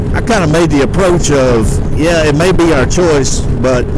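Loud noise fills the background behind a man's voice. The sound is dry, with no echo. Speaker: motorcycle vlogger. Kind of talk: casual vlog chat. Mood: relaxed, earnest. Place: motorbike. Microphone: helmet.

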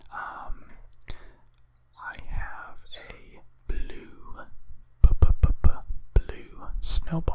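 The speaker, a man, whispers. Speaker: ASMR creator. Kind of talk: ASMR mic test. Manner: whispered. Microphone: studio mic.

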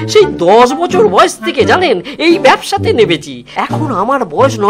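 A man performs a cartoonish character voice at a fairly slow pace, with clear music playing in the background. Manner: humble, eager, respectful.

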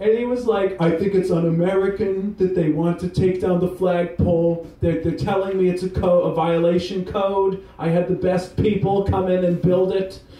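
Audible room echo surrounds a voice speaking at a moderate pace with fairly even intonation. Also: man. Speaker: stand-up comedian. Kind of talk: rambling open-mic stand-up with crowd work. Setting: stage with audience. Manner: self-deprecating, meandering, giggly; loose, laid-back stoned delivery. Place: bar. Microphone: camera far.

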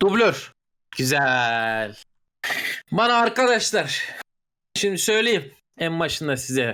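At a very slow pace, a man uses a raised, projected voice with a bright, sharp tone in a very clean recording with a silent background. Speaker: gamer friend. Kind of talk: casual chat, party game.

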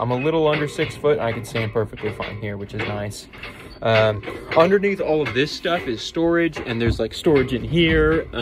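Noticeable background noise accompanies a man who talks at a fairly quick clip. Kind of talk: casual vlog chat. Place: boat. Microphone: earbuds.

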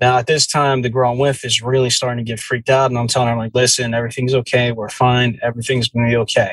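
Speaking very fast with hardly any pauses, a man uses an American accent and a medium pitch. His intonation is flat and monotone, and his voice is somewhat breathy. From New Jersey. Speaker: podcast host. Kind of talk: storytelling.

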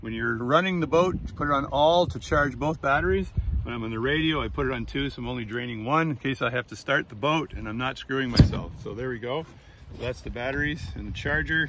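The speech comes at a fairly quick pace with ordinary pitch variation. The sound is dry with no echo, but loud background noise is present. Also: man, medium pitch for a man. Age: 60s. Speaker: YouTube reviewer. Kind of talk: product review walkthrough; casual review tutorial. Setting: outdoors on a boat. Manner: casual, rambling with fillers. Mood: relaxed, jokey. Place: boat. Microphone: phone near.

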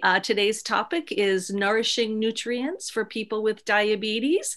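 A woman's fairly slow delivery against a quiet background. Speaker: presenter. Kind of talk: lecture. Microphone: video call.

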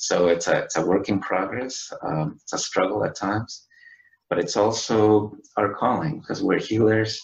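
A man with a Spanish accent speaks at a fairly low pitch, somewhat breathy, with audible room echo. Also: ordinary pitch variation, moderate pace. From Chile. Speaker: IT worker and spiritual guest; guest. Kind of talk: interview. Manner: halting. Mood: calm, reflective. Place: home room. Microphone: webcam.

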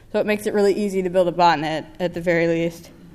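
This is a woman speaking. She has an American accent. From United States. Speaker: security researcher. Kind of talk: conference talk. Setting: stage with audience. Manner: animated. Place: hall. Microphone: podium.

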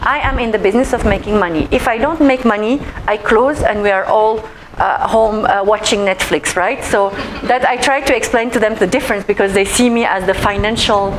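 At a fairly quick pace, a woman talks with very even loudness and ordinary pitch variation over noticeable background noise. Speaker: presenter. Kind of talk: presentation talk. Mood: warm, laughing. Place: meeting room.

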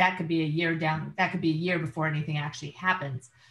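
Audible room echo surrounds a woman's voice. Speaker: workshop participant. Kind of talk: casual group discussion. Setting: video call. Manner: enthusiastic. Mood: enthusiastic, persuasive. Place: home room. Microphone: video call.

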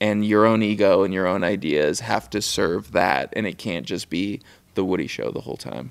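At a moderate pace, a man with a very deep, low pitch and vocal fry speaks with ordinary pitch variation. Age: 30s. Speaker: filmmaker and photographer; interview guest. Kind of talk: casual chat. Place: studio. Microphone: studio mic.

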